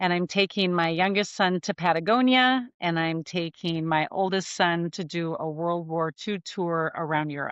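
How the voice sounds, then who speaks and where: Speaking with a normal speaking voice, a woman keeps a fairly low pitch, ordinary pitch variation and a fairly slow pace. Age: 50s. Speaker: former federal emergency management official. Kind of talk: podcast interview.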